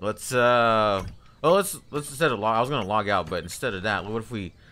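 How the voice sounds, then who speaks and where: Lively intonation carries this fairly quick delivery. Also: man. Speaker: gaming streamer. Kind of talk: live gameplay commentary. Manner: casual, halting with repetitions.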